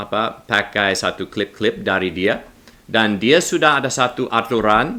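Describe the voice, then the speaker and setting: A man with a non-native accent speaks fairly slowly in a bright, sharp tone. His pitch is fairly low, with ordinary variation. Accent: non-native Indonesian. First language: English (speaking Indonesian). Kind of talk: religious commentary video. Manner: halting, non-fluent with self-corrections.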